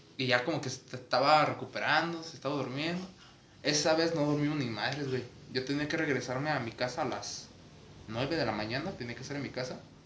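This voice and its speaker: A man with a Mexican accent, fairly high in pitch and fairly quick, his intonation fairly even, with audible room echo and noticeable background noise. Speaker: podcast host. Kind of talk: casual chat.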